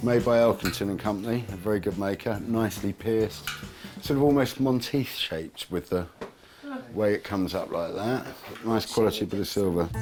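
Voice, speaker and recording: The speaker moves at a fairly quick pace with ordinary pitch variation. Noticeable background noise is present. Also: man, fairly low pitch for a man. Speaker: antique dealer. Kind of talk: casual explanation to camera.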